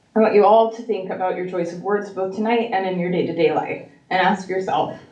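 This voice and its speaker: A woman's mid-pitched voice at a fairly quick pace, with audible room echo. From Mapleton area, local. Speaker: parent speaking at school board public comment. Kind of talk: public comment speech. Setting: school board meeting. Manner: halting.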